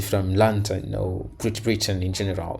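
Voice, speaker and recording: A man's fairly even intonation carries audible room echo. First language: Portuguese. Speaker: language learning youtuber. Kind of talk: reaction video commentary. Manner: halting, many fillers and repetitions.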